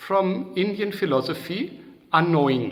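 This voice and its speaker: Against noticeable background noise, a man with a German accent speaks with ordinary pitch variation. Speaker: psychodrama trainer. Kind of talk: interview. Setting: video call. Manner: halting.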